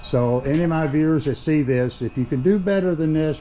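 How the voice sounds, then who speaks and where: A man at a fairly quick pace, ordinary pitch variation, and noticeable background noise. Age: 70s. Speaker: vlogger. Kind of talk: casual chat.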